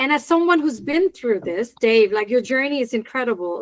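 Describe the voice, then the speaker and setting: Dry and close with no echo, a woman's high-pitched voice moves at a moderate pace with lively intonation. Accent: non-native. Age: 40s. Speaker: podcast host. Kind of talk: interview.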